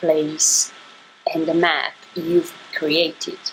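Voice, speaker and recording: At a very slow pace, a woman speaks in a fairly low pitch with a non-native accent. Light background noise can be heard. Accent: noticeable non-native. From Italy. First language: Italian. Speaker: YouTuber. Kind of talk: unboxing haul video. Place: home room. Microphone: phone near.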